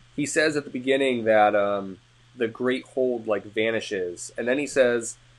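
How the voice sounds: This clip is a natural reading voice.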